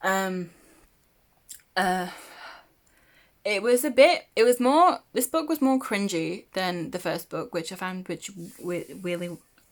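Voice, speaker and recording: A woman speaks at a very slow pace in a medium pitch with lively intonation. She takes long, frequent pauses. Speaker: book vlogger. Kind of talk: casual chat. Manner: hesitant, many fillers.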